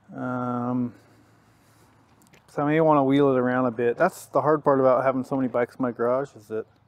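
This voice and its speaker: A man at a medium pitch and a fairly quick pace, with big swings in loudness and long, frequent pauses. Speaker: dirt bike hobbyist vlogger. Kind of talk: casual self-narrated vlog. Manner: casual, enthusiastic.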